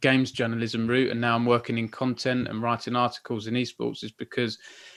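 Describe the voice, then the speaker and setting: A man speaks in an Essex accent at a medium pitch. His pace is fairly quick. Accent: Southern Essex. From Essex, southern England. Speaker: esports journalist and interviewer. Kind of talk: interview.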